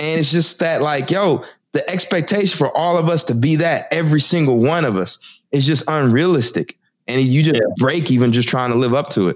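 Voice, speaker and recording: A man with an American accent speaks at a fairly quick pace in a fairly high pitch, with ordinary pitch variation and an unremarkable speaking voice. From Texas. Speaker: podcast host, Marine Corps veteran. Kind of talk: casual chat.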